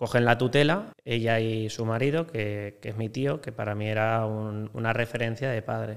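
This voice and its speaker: A man with an ordinary speaking voice talks at a fairly slow pace, medium in pitch, with fairly even intonation. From Spain, Valencia. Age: 20s. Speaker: hotel sales broker. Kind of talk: casual interview chat.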